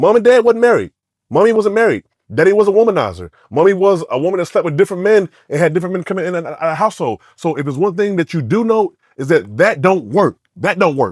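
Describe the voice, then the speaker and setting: Loud and very fast, a man talks at a high pitch with lively intonation and an American accent. The sound is dry and close with no echo. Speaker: podcast co-host. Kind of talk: casual chat.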